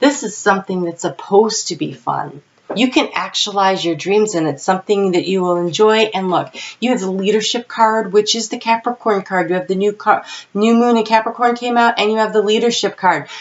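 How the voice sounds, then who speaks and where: Medium-pitched female speech at a fairly quick pace, with ordinary pitch variation and noticeable background noise. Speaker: tarot reader. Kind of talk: tarot reading. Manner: loud.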